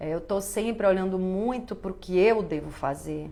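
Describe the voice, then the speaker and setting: A woman speaks at a fairly slow pace and medium pitch, with ordinary pitch variation. Room echo is audible. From Bahia, Brazil. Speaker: actress and live-stream host. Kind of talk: live stream talk reading viewer comments. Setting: live stream.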